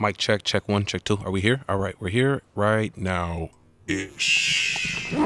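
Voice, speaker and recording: With an American accent, a man speaks very slowly at a fairly low pitch with ordinary pitch variation, the sound dry and close with no echo despite noticeable background noise. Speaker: podcast host. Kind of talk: casual interview.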